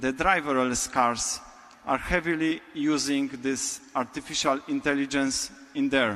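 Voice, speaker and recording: With a Polish accent, a man speaks at a fairly slow pace and fairly high pitch, keeping his intonation fairly even. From Poland. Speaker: business technology architect. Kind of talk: conference talk. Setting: stage with audience.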